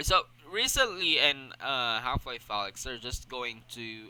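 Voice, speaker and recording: A man's bright, sharp tone with a non-native accent. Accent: noticeable non-native. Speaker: gaming streamer. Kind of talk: casual solo podcast stream. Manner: halting, many fillers and repetitions.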